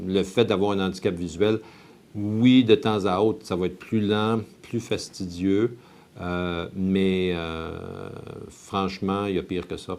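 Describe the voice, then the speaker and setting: Fairly low in pitch, a man speaks at a very slow pace with fairly even intonation. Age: 50s. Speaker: investment advisor. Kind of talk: testimony.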